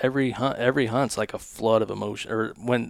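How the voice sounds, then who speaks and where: In an American accent, a man speaks at medium pitch and a moderate pace with monotone, flat intonation, in a dry, close sound with no echo. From US West Coast. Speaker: hunting content creator. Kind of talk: casual chat. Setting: studio.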